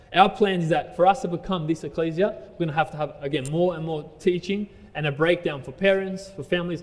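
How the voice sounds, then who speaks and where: A man with an Australian accent, high-pitched and fairly quick. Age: 30s. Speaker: pastor. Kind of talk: sermon. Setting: church.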